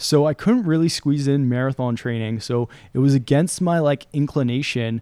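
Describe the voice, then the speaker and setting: With a Canadian accent, a man with an unremarkable speaking voice talks at a moderate pace and ordinary pitch variation. The sound is dry and close with no echo, on a very clean recording over a silent background. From London, England until 8, then Toronto, Canada. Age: 30s. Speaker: endurance athlete. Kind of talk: casual chat. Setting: studio.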